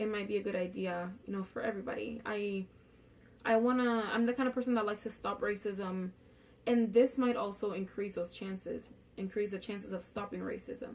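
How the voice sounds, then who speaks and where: Here is a woman with a Spanish accent at medium pitch. She talks at a fairly quick pace with fairly even intonation. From Puerto Rico. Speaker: student. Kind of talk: class speech. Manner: casual, with fillers.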